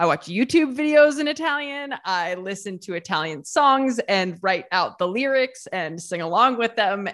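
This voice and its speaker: A woman with a Midwestern American accent, medium in pitch, swinging very widely up and down at a moderate pace against a quiet background. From small-town Ohio, US Midwest. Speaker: YouTuber and food writer. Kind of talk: casual interview chat.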